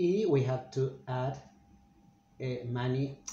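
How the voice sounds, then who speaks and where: With a Spanish accent, a man talks at a very slow pace and a fairly high pitch, showing ordinary pitch variation. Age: 40s. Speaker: Spanish teacher. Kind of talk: language lesson. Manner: halting, with many fillers.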